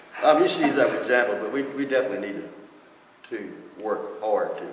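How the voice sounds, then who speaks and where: A man with a Texas Gulf Coast accent talks at a very fast pace, broken by long, frequent pauses and big swings in loudness. Noticeable background noise and audible room echo surround him. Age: 70s. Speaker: retired fishing guide. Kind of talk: casual interview chat.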